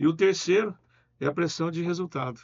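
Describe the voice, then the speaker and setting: A man speaks at a fairly slow pace with vocal fry. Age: 60s. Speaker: business owner. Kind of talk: interview.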